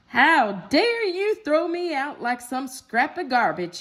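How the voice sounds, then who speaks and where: A woman's put-on, growling character voice, high in pitch with very wide swings, at a fairly slow pace. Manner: growling, indignant.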